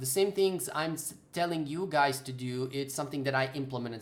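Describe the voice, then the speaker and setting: A man speaks with a non-native accent. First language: not English. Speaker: game development tutor. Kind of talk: live stream Q&A. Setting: live stream. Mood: earnest, advising. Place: home room. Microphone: webcam.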